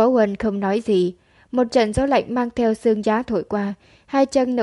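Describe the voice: The text is simply read aloud. It is plain reading aloud.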